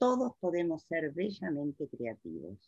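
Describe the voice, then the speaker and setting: A woman speaks at a very slow pace in a very deep, low voice. Her pitch swings very widely. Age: 70s. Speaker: art therapist. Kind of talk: interview.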